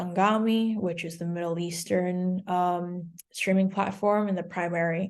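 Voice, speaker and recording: A woman's fairly low voice moves at a fairly slow rate. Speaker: music data platform representative giving a demo. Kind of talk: software tutorial over video session. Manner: hesitant with many fillers.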